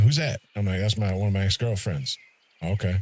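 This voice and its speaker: Somewhat breathy and fairly low, a man's voice rushes along at a very fast pace. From US Midwest, East St. Louis, Illinois. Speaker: gaming streamer. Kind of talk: casual chat. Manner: animated.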